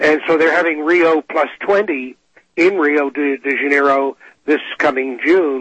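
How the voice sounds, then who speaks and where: A man with an unremarkable speaking voice, fairly high in pitch and fairly slow, with fairly even intonation and very even loudness. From England, emigrated to Canada in 1957. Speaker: climatologist, former air force pilot. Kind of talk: radio interview.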